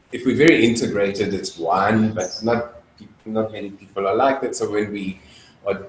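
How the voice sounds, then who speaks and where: A man with a fairly low pitch and ordinary pitch variation talks at a fairly quick pace. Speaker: dance facilitator. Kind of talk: lecture. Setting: video call. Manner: loud; halting, many fillers.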